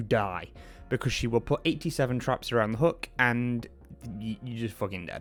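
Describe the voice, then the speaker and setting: The man talks at a fairly quick pace with ordinary pitch variation. Music is heard in the background. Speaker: gaming YouTuber and streamer. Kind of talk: casual gaming commentary. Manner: fast, talks without pausing for breath; stammering, repeats words.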